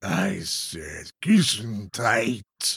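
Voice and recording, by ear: A man puts on a character voice at a fairly low pitch. It is growling and raspy.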